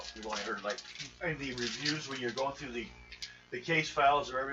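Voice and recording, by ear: The intonation stays fairly even as the text is read aloud in a natural voice.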